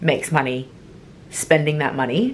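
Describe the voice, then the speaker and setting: A woman speaks with an American accent. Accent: sounds American. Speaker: travel vlogger. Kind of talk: casual vlog talk. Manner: animated.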